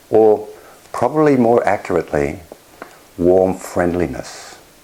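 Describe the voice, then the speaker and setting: There is noticeable background noise behind this man. He speaks at a very slow pace with lively intonation. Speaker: clinical psychologist and meditation teacher. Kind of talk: dharma talk at an online retreat.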